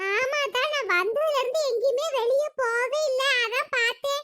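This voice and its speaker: Using a cartoonish character voice with extremely high pitch, a woman talks at a fairly slow pace, her loudness very even and her pitch variation ordinary. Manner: sharp-tongued, grumbling.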